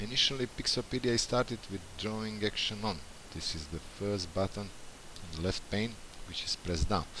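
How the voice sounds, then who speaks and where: Bright and sharp in tone, a man with a non-native accent talks at a moderate pace and fairly low pitch, using ordinary pitch variation. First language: not English. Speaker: software developer. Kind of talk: tutorial. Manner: halting.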